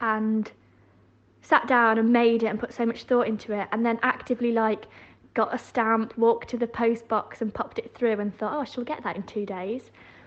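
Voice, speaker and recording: Monotone and flat, a woman with a Yorkshire accent speaks at a fairly high pitch and a moderate pace. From West Yorkshire, England. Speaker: podcast guest. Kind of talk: casual chat. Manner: hesitant, lots of fillers.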